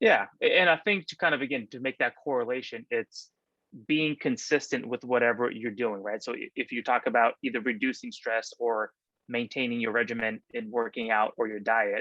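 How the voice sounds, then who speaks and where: With an ordinary speaking voice, a man talks at a moderate pace and medium pitch, showing ordinary pitch variation. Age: 30s. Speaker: real estate agent. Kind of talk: casual interview chat.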